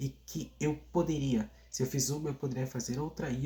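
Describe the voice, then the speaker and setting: A man speaks in a fairly high pitch with a flat, monotone delivery, a somewhat breathy quality and a dark, mellow tone. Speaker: singer and YouTuber. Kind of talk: vlog monologue. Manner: casual, hesitant with repetitions.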